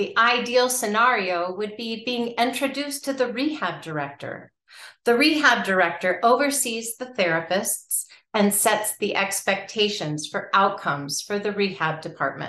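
A woman speaks in a bright, sharp tone at a moderate pace. Audible room echo surrounds her voice. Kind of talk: informational talk. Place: home room. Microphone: webcam.

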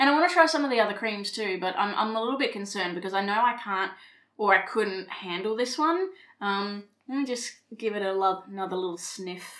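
A woman talks at a fairly quick pace in an Australian accent. Her pitch varies in an ordinary way against a quiet background. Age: 30s. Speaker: beauty vlogger. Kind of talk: casual talk to camera. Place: home room.

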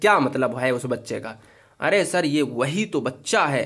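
In a very clean recording with a silent background, a man talks at a moderate pace with ordinary pitch variation. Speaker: exam prep teacher. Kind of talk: tutorial. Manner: animated.

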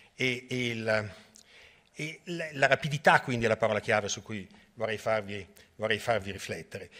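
At a moderate pace, a man talks at medium pitch with ordinary pitch variation over a quiet background. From Venice, Italy; Italy. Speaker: hydrology professor. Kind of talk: lecture. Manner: halting, many repetitions and fillers. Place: hall.

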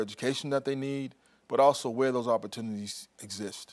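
Over a quiet background, a man talks at a very fast pace with an American accent and monotone, flat intonation. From South Carolina. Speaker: regional workforce advisor. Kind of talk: TV interview. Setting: studio. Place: studio. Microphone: lapel.

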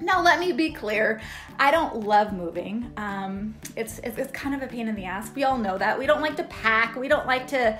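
A moderate pace with faint music in the background. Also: woman. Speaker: real estate agent vlogger. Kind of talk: casual vlog chat. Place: home room. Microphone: phone near.

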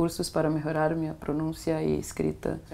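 The woman's voice is very deep and low, delivered at a moderate pace. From Brazil, Itaboraí, Rio de Janeiro state; Rio de Janeiro state, Brazil. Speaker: exchange student. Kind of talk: interview; interview answer. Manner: halting, code-switching Portuguese and Spanish. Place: home room.

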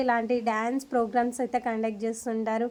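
The woman speaks in an animated tone. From Andhra Pradesh, Markapuram area village. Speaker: vlogger. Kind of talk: vlog narration.

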